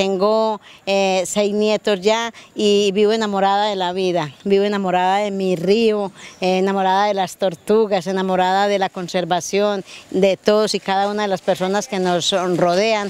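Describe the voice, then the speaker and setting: A woman at a fairly slow pace, monotone, flat intonation and dry sound with no echo. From Antioquia, Colombia. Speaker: rural community environmental leader. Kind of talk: interview. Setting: outdoors by a river. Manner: halting, many repetitions. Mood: warm, passionate. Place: waterside. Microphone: handheld.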